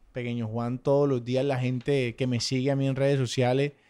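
At a fairly quick pace, the speaker talks in a monotone, flat intonation on a very clean recording with a silent background. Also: man. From Colombian Caribbean coast, Sucre. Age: 30s. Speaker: social media influencer. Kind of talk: casual chat.

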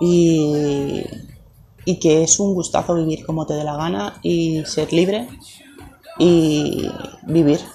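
A woman's very deep, low pitch at a very slow pace, with ordinary pitch variation, long, frequent pauses and noticeable background noise. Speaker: podcaster. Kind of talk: personal story monologue.

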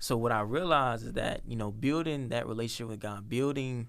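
Fairly quick speech from a man with an unremarkable speaking voice. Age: young. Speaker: podcast co-host. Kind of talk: casual chat.

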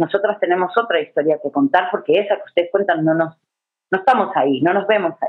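A woman talks at a very fast pace. Her loudness stays very even. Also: medium pitch for a woman, ordinary pitch variation. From Uruguay. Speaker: feminist educator / workshop facilitator. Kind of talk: online workshop lecture. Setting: video call.

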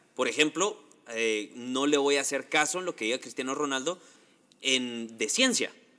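At a moderate pace and medium pitch, a man speaks with ordinary pitch variation, an unremarkable speaking voice. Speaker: podcast co-host. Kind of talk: casual chat.

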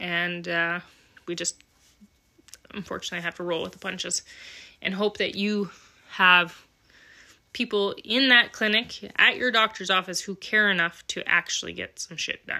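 A woman with a Western Canadian accent speaks at a medium pitch and moderate pace, her tone bright and sharp and her intonation fairly even. Her loudness swings widely, long pauses come often, and the recording is very clean with a silent background. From Alberta, Canada (small town). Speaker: podcast host, welder and mechanic. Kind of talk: casual monologue.

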